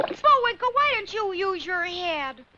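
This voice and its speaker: A cartoonish character voice at an extremely high pitch. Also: moderate pace. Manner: earnest, practical.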